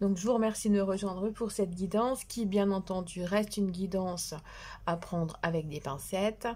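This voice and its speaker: Somewhat breathy and fairly slow, the delivery shows ordinary pitch variation. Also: woman. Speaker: tarot card reader. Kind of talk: tarot reading. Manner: soft-spoken; hesitant.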